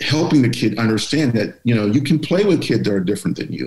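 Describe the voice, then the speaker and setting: A man's somewhat breathy voice with an American accent and lively intonation, against a quiet background with audible room echo. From Pittsburgh, Pennsylvania. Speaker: author and diversity speaker; speaker. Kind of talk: interview. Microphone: video call.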